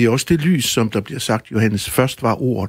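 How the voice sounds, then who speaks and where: Somewhat breathy speech in an Aarhus accent comes through in a very clean recording with a silent background and a dry, close sound with no echo. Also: man. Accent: Aarhus Danish. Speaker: author and musician. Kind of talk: radio interview answer.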